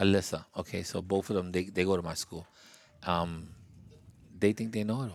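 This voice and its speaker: A man with a very deep, low pitch talks at a fairly quick pace, with big swings in loudness and long, frequent pauses, on a very clean recording with a silent background. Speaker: after-school club podcast host. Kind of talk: casual interview with children. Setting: kids' clubhouse. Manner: animated, playful.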